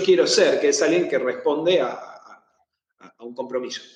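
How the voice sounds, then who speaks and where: A man speaks in a Rioplatense accent. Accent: Argentine Rioplatense Spanish. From Argentina. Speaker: therapist. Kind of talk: interview on anxiety management. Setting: live video stream.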